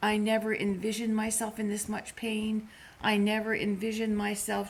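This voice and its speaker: The speaker is a woman. She has a medium pitch. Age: 60s. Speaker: vlogger. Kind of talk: casual chat.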